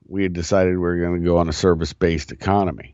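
Speaking with an American accent, a man has a very deep, low pitch. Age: 50s. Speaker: podcast host. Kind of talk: political commentary monologue. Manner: casual, conversational.

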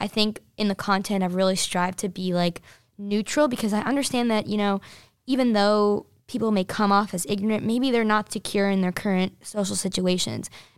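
A woman with an American accent has an ordinary speaking voice at medium pitch, with fairly even intonation. She talks at a fairly quick pace on a very clean recording with a silent background. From New Jersey. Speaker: college student, social media founder. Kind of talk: interview. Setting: studio.

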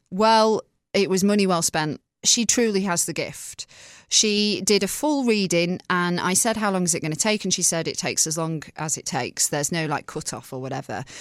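With lively intonation, a woman speaks at medium pitch and a moderate pace. The recording is very clean, with a silent background. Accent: English. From England, small town. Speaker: podcast co-host and radio presenter. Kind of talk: casual chat.

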